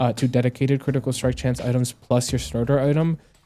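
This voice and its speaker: Someone speaks at a very fast pace over music in the background. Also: man. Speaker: gaming YouTuber and streamer. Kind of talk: gameplay commentary and guide. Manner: stumbling over words.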